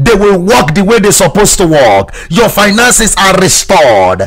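Noticeable background noise runs through the clip. The voice rises and falls with ordinary pitch variation. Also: man. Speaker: preacher leading prayer. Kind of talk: sermon with fervent, commanding prayer. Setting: broadcast to remote listeners. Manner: fervent, insistent, commanding; repetitive, rhythmic exhortation.

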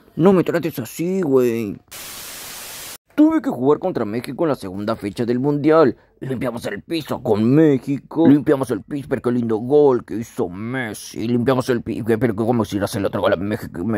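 Using a whiny, put-on character voice, a man speaks at a moderate pace with a medium pitch. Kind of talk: comic fandub parody. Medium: fan dub. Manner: whiny then gleeful and cheering.

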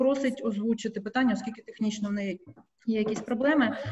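A woman speaking at a fairly quick pace over light background noise. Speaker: press moderator. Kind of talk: moderating press briefing. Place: office. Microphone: webcam.

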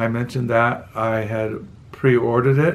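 A man with a Midwestern accent speaks at medium pitch. His delivery is fairly slow, with a monotone, flat intonation. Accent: general American (Midwestern). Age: 60s. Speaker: book vlogger. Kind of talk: casual monologue. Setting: home video recording at night. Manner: halting.

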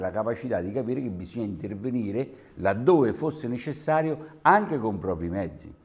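A man's voice with very wide pitch swings. He talks at a fairly quick pace. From Terni, Umbria, central Italy; Umbria. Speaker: regional councillor. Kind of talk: televised political debate. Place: studio. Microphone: lapel.

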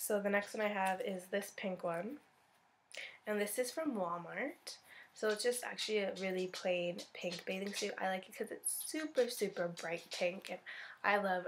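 Light background noise sits under the speech. The woman goes at a moderate pace, and her pitch variation is ordinary. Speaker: beauty vlogger. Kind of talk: casual vlog chat. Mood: cheerful, relaxed. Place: home room. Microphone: phone near.

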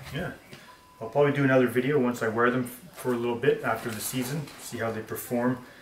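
A man talks at a fast pace and medium pitch, his intonation fairly even, with audible room echo around him.

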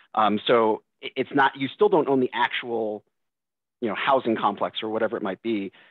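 In a quiet background with dry, echo-free sound, a man with an American accent uses an ordinary speaking voice at medium pitch and moderate pace, with fairly even intonation. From Massachusetts, Boston; Massachusetts. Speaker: financial planner; panelist. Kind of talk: panel discussion. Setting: video call. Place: office. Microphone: video call.

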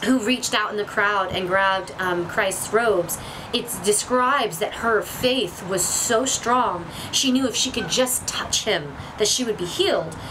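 A woman speaks at a fairly slow pace with ordinary pitch variation. Noticeable background noise is present. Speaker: spiritual vlogger. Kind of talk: casual discussion about faith. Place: waterside. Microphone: camera far.

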